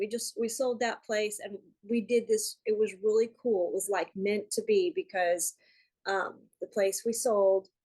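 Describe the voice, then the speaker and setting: Fairly high in pitch, this woman has an ordinary speaking voice. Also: ordinary pitch variation, fairly slow pace. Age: 60s. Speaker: course student. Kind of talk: casual chat. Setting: video call.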